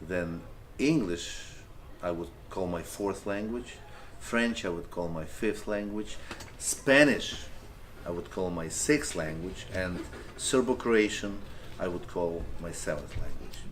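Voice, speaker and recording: A man with a Ukrainian accent speaks at a very deep, low pitch with lively intonation. Long, frequent pauses break his speech, and there is audible room echo. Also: fairly slow pace. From Ukraine. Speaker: teacher. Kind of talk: interview.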